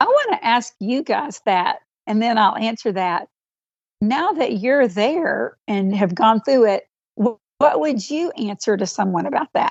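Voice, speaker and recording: A woman's normal speaking voice, fairly high in pitch, with lively intonation at a fairly slow pace. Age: 60s. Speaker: author and empty-nest workshop leader. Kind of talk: podcast interview.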